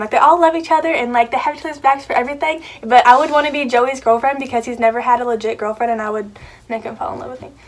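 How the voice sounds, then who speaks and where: A woman mumbles at a very fast pace in a high voice. Her pitch varies in an ordinary way. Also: big swings in loudness. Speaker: YouTuber. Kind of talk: casual chat. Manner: mumbling.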